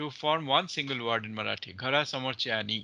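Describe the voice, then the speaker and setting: A man with a Bengali accent speaks at medium pitch in a bright, sharp tone. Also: quiet background. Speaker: professor. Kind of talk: lecture. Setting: classroom. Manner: halting, with many fillers.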